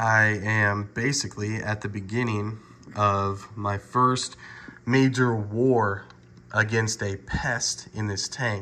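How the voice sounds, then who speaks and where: A man with a fairly low pitch, a very slow pace, monotone flat intonation, and long, frequent pauses. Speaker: reef aquarium hobbyist. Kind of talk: video tutorial. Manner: hesitant, many fillers.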